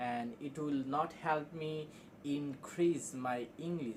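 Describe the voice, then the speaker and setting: A man with a Bangladeshi accent speaks at a very slow pace. His voice is fairly high, with fairly even intonation. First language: Bengali. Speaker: English teacher on video channel. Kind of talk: casual spoken lesson. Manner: halting, with self-corrections.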